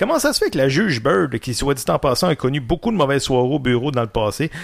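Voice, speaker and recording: A man speaks very fast in a Quebec accent, his pitch fairly high and somewhat breathy. His intonation is lively. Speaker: sports podcast host. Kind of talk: casual sports debate.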